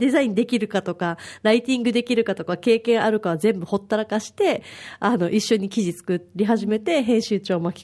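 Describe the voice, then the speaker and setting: A woman speaks at a fairly quick pace with a dark, mellow tone and a medium pitch, using ordinary pitch variation. The recording is very clean, with a silent background. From Okinawa, Japan. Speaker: volunteer mother at a parenting free paper. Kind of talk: casual chat.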